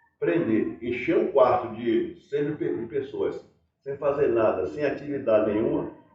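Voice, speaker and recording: Audible room echo colors the recording. A man talks fairly slowly. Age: 60s. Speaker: folk performer. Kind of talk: life-story interview. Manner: halting.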